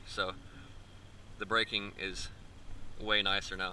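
There is light background noise. A man talks in a monotone, flat intonation. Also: dry sound with no echo. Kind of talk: casual walkaround commentary. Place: street. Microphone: phone near.

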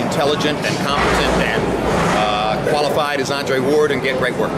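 Loud background noise surrounds a man as he talks. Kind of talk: interview answer. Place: hall. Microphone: handheld.

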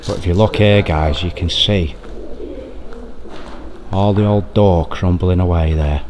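Light background noise sits behind a man speaking at a moderate pace. His pitch variation is ordinary. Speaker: urban explorer vlogger. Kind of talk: casual vlog chat. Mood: awed, enthusiastic. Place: church. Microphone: phone near.

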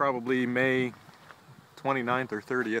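A man talks at a fairly slow pace. The sound is dry with no echo, though background noise is noticeable. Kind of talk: casual vlog narration. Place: open country. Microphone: phone near.

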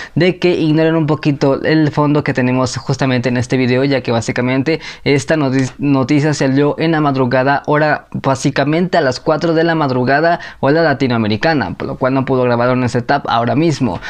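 A man at a fairly quick pace, fairly even intonation, over a quiet background. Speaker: anime news youtuber. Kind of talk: casual vlog chat. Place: home room. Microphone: lapel.

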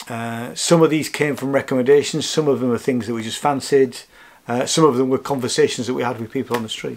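With ordinary pitch variation, a man is talking. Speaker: vlogger. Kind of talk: casual vlog chat. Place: home room. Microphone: camera far.

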